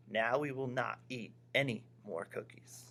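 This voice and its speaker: A man's put-on character voice at a medium pitch and fairly slow pace, with clear background noise. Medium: read story.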